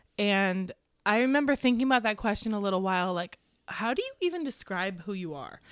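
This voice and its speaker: In an ordinary speaking voice, a woman of medium pitch talks at a fairly quick pace with lively intonation on a very clean recording with a silent background. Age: 30s. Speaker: farmer and mother, podcast guest. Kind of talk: casual chat.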